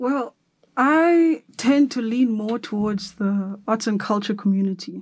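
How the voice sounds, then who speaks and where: A woman with a fairly high pitch speaks at a fairly slow pace, her voice somewhat breathy and her intonation lively. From South Africa, Cape Town. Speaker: photographer. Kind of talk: interview. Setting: studio.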